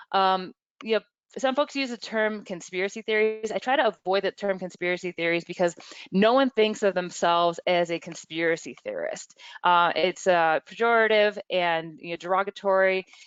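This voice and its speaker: An unremarkable speaking voice from a woman, medium in pitch with ordinary variation, at a moderate pace, in dry, close sound with no echo and a quiet background. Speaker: webinar presenter, media bias researcher. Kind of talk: webinar presentation. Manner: many fillers and restarts.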